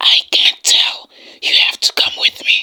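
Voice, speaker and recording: A woman whispers in a raspy, put-on character voice at a fairly slow pace. The sound is dry and close, with no echo. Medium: read story. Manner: firm, formal.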